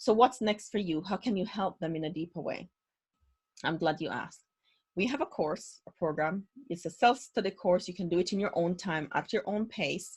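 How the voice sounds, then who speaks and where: A woman talks at a moderate pace in a medium-pitched, somewhat breathy voice whose pitch varies in an ordinary way. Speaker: trauma recovery trainer. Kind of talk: webinar lecture. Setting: online webinar.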